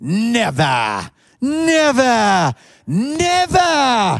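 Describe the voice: Putting on a character voice in a strong Welsh accent, a man speaks at an extremely high pitch with very wide pitch swings. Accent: thick Welsh.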